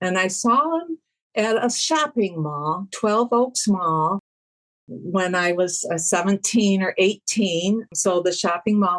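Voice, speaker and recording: A woman speaks very slowly at medium pitch with a Michigan accent and ordinary pitch variation. The sound is dry and close, with no echo. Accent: US Midwest (Michigan). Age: 70s. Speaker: music fan, podcast guest. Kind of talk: interview, personal storytelling.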